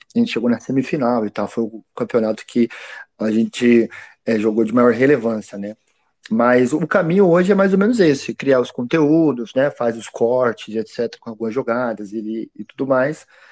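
A man speaks at a moderate pace in a medium pitch. The recording is very clean with a silent background and a dry, close sound with no echo. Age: 30s. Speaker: game studio founder and ex pro gamer. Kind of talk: casual interview chat.

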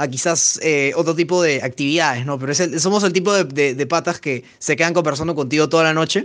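Pace is very fast for this man. His voice sits fairly high. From Peru. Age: 20s. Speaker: podcast co-host. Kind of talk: casual chat.

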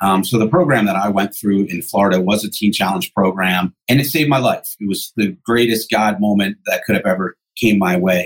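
In a normal speaking voice, a man with an American accent talks at a fairly quick pace with hardly any pauses, his fairly low pitch showing ordinary variation, and the sound is dry and close with no echo. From New Jersey, Jersey Shore. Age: 40s. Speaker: pastor and addiction recovery ministry leader. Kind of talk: interview.

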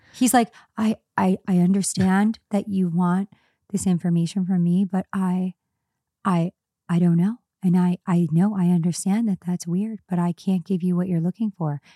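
With a dark, mellow tone and a medium pitch, a somewhat breathy woman speaks at a moderate pace in monotone, flat intonation, on a very clean recording with a silent background and a dry, close sound with no echo. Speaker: podcast co-host. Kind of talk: casual chat between friends.

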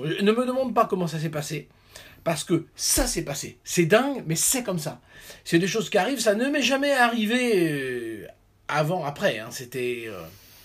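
Very wide pitch swings mark this man's high-pitched voice. He keeps a moderate pace. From France. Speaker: orchestral timpanist. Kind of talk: casual chat. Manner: halting.

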